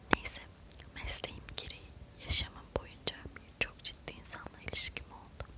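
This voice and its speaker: The voice is a woman's. It comes out in a whisper. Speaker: ASMR content creator. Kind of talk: whispered book reading for relaxation / sleep. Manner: whispered, soft, slow. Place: home room. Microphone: lapel.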